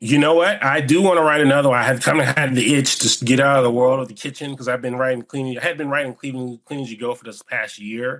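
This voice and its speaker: A man with an American accent speaks at a very fast pace with hardly any pauses. His intonation is fairly even, yet his loudness swings widely. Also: medium pitch for a man. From US South, Georgia (military family, also Germany). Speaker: screenwriter, former truck driver and chef. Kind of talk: interview. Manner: halting, stumbling.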